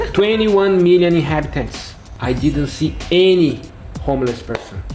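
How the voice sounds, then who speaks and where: In a Portuguese accent, a man speaks at a moderate pace with lively intonation, audible room echo and music in the background. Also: fairly high pitch for a man. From Brazil. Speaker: foreign visitor, interview guest. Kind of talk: casual interview chat. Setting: in China, Beijing.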